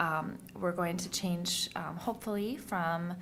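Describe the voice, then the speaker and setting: A woman's fairly low pitch and fairly even intonation, with audible room echo. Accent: American. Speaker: public health official. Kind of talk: annual report presentation. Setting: county board meeting. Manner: fast; halting, many fillers.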